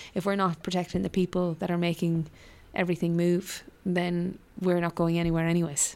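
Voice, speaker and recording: A woman speaks with a western Irish accent in a flat monotone. The recording is very clean, with a silent background. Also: fairly low pitch for a woman, fairly quick pace. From rural west of Ireland (Mayo/Galway border). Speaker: politician. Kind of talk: interview.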